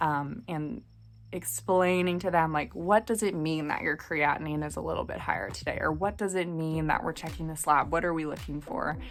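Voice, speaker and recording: A woman speaks at a moderate pace. Behind her, there is music. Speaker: medical student vlogger. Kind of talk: casual advice vlog.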